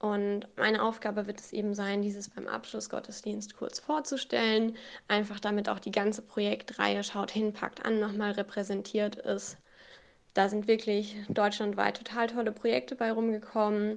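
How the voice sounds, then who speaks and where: This woman has an unremarkable speaking voice, a medium pitch, fairly even intonation and a moderate pace. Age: 20s. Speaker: student and scout leader. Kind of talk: interview.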